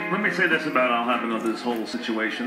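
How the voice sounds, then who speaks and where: At a moderate pace, a man with a medium pitch talks over noticeable background noise. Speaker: sports radio host. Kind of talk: sports radio monologue.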